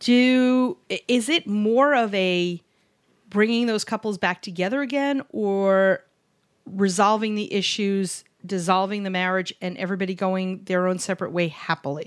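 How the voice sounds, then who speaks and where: A woman with a plain, everyday voice speaks at a moderate pace and medium pitch, with ordinary pitch variation, over a quiet background. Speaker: podcast host. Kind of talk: casual interview chat.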